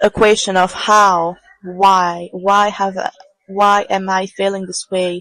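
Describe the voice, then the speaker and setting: Keeping a very slow pace, a woman at a medium pitch speaks with a bright, sharp tone and monotone, flat intonation. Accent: non-native. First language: not English. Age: 20s. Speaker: podcaster, tarot reader. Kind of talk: reflective solo podcast monologue. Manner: halting, repeats words. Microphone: poor audio, bad microphone.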